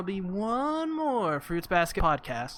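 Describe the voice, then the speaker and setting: The voice is raised and projected, with a bright, sharp tone and very wide pitch swings. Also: man. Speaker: anime podcast host. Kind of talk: casual chat. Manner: halting, stuttering.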